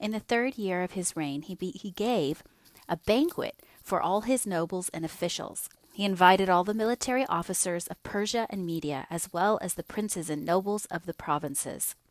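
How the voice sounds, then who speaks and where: An ordinary speaking voice from a woman at medium pitch, moderate pace and ordinary pitch variation, in a dry, close sound with no echo. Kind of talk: audio bible reading.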